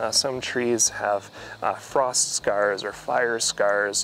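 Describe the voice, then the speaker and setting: A man's voice comes through with a dry sound, no echo and light background noise. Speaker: forestry extension educator. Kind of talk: tutorial. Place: forest. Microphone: lapel.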